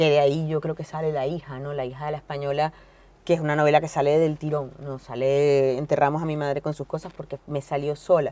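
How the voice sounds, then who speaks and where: A woman talks at a fairly quick pace in a very deep, low pitch, with a dark, mellow tone and monotone, flat intonation. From Venezuela, Caracas. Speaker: novelist and journalist. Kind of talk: interview. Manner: fast; halting, many fillers and repetitions.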